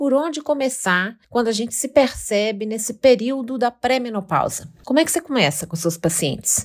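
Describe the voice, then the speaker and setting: A woman talks at a fairly quick pace in an unremarkable speaking voice. The recording is very clean, with a silent background. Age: 50s. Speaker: podcast host. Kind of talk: scripted narration.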